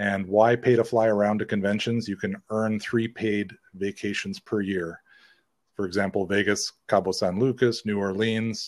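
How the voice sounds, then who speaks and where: Monotone, flat intonation runs at a moderate pace on a very clean recording with a silent background. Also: man, fairly low pitch for a man. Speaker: network marketing promoter. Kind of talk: reading aloud. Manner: halting.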